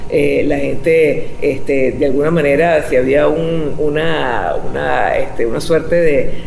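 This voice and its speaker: Noticeable background noise sits behind a woman's voice. She speaks at a fairly slow pace with hardly any pauses. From Venezuela. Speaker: radio host and journalist. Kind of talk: interview answer.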